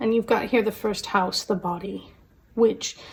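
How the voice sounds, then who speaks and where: A woman's somewhat breathy, dark, mellow voice at medium pitch and moderate pace in a very clean recording with a silent background. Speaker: tarot reader. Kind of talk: tarot reading to camera. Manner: casual with fillers; quiet, soft-spoken.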